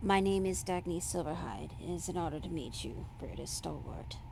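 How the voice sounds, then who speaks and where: A put-on character voice carries the clip. Loud background noise runs behind it. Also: moderate pace. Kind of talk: very formal.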